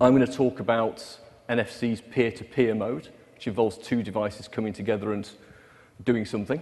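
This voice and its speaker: This man's pitch sits in the medium range. He talks in a British accent. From UK. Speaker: developer relations presenter. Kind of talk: conference technical presentation. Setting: stage with audience.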